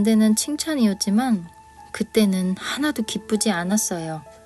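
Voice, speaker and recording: Over music in the background, a woman speaks at a fairly slow pace and fairly high pitch with lively intonation. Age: 50s. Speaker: picture book author and illustrator. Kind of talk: personal story told to camera.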